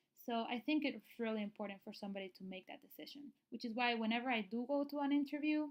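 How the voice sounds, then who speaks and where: A woman's high-pitched voice at a very fast pace, with big swings in loudness, ordinary pitch variation and hardly any pauses. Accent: Spanish. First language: Spanish. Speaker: nurse practitioner / registered nurse. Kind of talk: tutorial. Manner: casual, with many fillers.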